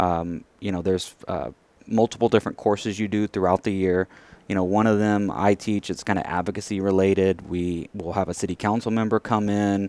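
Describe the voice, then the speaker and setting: On a very clean recording with a silent background and a dry, close sound with no echo, a man with a Texan accent speaks at a fairly quick pace with a fairly low pitch and fairly even intonation. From West Texas, rural area near Abilene. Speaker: professional association executive. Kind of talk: interview.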